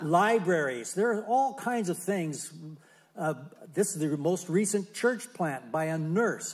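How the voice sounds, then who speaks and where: Speaking at a fairly slow pace, a man uses a high pitch and lively intonation. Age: 70s. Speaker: missionary. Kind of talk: testimony. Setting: church.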